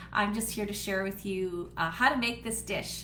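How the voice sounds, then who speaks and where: With a Canadian accent, a woman speaks at a moderate pace and medium pitch in monotone, flat intonation. Audible room echo surrounds her voice. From Canada (Manitoba). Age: 60s. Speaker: home cooking host and wellness seller. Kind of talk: live cooking demo chat. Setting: home office, livestream. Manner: casual, with frequent fillers.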